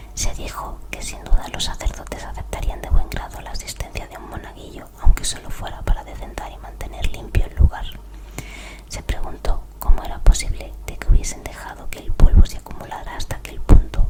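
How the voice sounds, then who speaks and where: With noticeable background noise behind it, a whisper comes through at a fairly quick pace. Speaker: ASMR creator. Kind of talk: whispered story reading. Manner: whispered.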